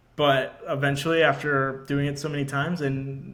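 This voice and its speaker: Fairly high male voice with monotone, flat intonation and audible room echo. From Georgia, US. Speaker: marine intelligence officer. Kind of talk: casual chat.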